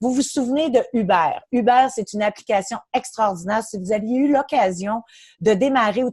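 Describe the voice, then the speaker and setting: A woman speaks in a fairly high, somewhat breathy voice with ordinary pitch variation. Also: quiet background. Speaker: network marketing presenter. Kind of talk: sales pitch. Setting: online webinar.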